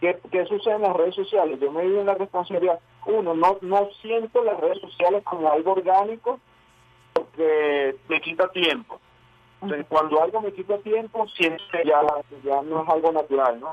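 A man speaks at a moderate pace with a Venezuelan accent, his pitch high for a man with ordinary variation. Noticeable background noise runs behind him. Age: 30s. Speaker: actor and filmmaker. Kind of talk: radio interview.

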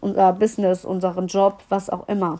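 Her tone animated, a woman talks at a moderate speed. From Germany, Düsseldorf. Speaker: podcast host and mindset coach. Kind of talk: solo podcast monologue.

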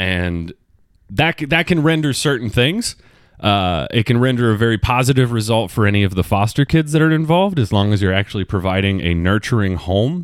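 Recorded very cleanly with a silent background, a man speaks at a fairly quick pace. His pitch swings very widely while his loudness stays very even. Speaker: podcast host. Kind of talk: casual solo monologue. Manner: casual, rambling.

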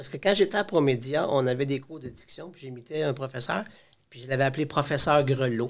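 The pace is fairly quick, and the pitch varies in an ordinary way. Loudness swings widely. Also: man, fairly high pitch for a man. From Quebec. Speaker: high school teacher. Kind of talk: casual interview. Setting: studio. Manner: talkative.

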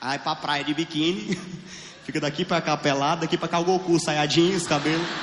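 An animated voice with a Piauí accent. Noticeable background noise runs behind it. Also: man, fairly high pitch for a man, fairly quick pace. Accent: Northeastern Brazilian (Piauí). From Piauí, Brazilian Northeast. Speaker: stand-up comedian. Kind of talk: stand-up. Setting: stage with audience.

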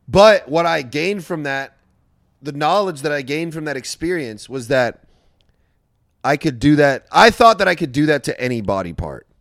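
With an American accent, a man talks at a moderate pace in an unremarkable speaking voice, fairly high in pitch with lively intonation, on a very clean recording with a silent background. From US West Coast (Orange County, California). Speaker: comedian. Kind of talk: casual chat.

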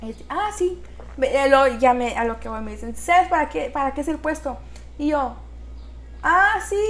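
A woman at a fairly slow pace, with long, frequent pauses and big swings in loudness. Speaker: business engineer and entrepreneur. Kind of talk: interview.

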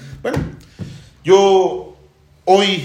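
A man with a somewhat breathy voice is heard with audible echo from the room. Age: 40s. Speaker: church teacher. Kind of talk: church livestream testimony panel.

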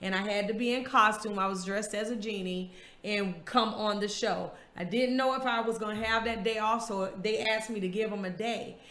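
A woman with an American accent has a fairly high pitch and fairly even intonation, heard with audible room echo and noticeable background noise. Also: fairly quick pace. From US South, Florida small town. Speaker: podcast host. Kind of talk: casual chat.

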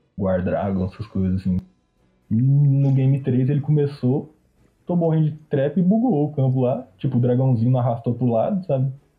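Over music in the background, a man of medium pitch speaks at a fairly quick pace, with ordinary pitch variation and very even loudness. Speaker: card game player. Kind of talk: casual chat.

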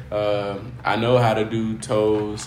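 A man with a fairly low voice talks amid noticeable background noise and audible room echo. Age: 20s. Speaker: podcast host and barber. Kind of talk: casual chat. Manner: casual, laughing often.

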